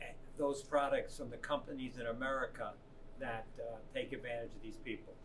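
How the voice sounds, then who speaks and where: A man speaks fairly quickly. The room gives his voice an audible echo. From New York City area, US. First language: Italian. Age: 70s. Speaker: substitute teacher. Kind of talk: interview. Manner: halting.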